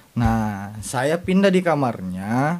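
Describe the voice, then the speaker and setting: Delivery runs fairly slowly. The pitch rises and falls over a very wide range. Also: man. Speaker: podcast guest. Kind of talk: casual chat.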